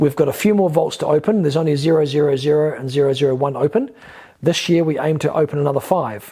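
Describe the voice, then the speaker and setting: A man speaks at a very fast pace in a fairly high pitch, his tone dark, mellow and somewhat breathy, with ordinary pitch variation. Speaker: spiritual teacher and YouTuber. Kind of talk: monologue video lecture. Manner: hesitant fillers.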